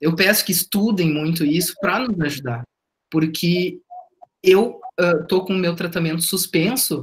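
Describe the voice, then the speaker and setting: The pitch moves up and down in an ordinary way. The pace is fairly slow. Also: man, high pitch for a man. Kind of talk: testimony.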